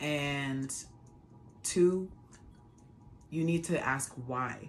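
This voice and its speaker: A woman's very deep, low voice with music in the background. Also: ordinary pitch variation. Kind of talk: casual talk to camera.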